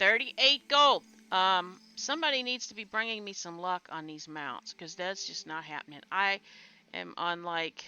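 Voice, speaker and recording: Speaking at a moderate pace, a woman's pitch swings very widely and her loudness rises and falls sharply. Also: medium pitch for a woman. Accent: American. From USA. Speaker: gamer. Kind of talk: casual chat.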